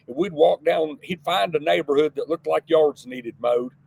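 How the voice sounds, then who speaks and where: The speaker has a Texan accent and ordinary pitch variation. The pace is fairly quick. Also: man. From Texas, south of San Antonio. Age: 60s. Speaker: entrepreneur. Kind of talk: interview. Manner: halting, repeats words.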